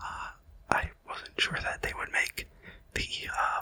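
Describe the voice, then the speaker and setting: A whisper at a moderate pace, with noticeable background noise. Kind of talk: casual ASMR card-opening commentary talking through each card. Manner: whispered, soft-spoken; hesitant, rambling, with frequent filler words.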